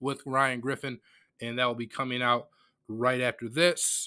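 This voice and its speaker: A speaker with an American accent. An unremarkable speaking voice. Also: man. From Metro Detroit, Michigan. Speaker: sports podcast host. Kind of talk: casual monologue. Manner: conversational, filler-heavy.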